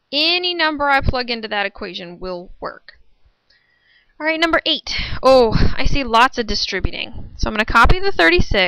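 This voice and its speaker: A woman speaks at a moderate pace in a high, raised, projected voice with a bright, sharp tone and very wide pitch swings, on a very clean recording with a silent background. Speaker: math teacher. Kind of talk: tutorial.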